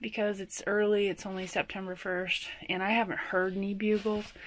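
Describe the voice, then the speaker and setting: The voice belongs to a woman. She keeps a moderate pace. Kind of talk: casual vlog chat. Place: home room. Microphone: phone near.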